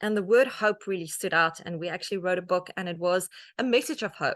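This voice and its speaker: Speaking in a South African accent, a woman talks at medium pitch with ordinary pitch variation. The background is quiet. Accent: Afrikaans South African English. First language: Afrikaans. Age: 40s. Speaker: author and media personality. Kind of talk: talk to an audience.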